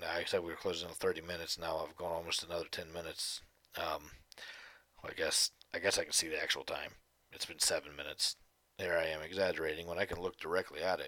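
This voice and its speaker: A man talks at a very fast pace, broken by long, frequent pauses. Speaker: podcast host. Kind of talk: casual solo monologue.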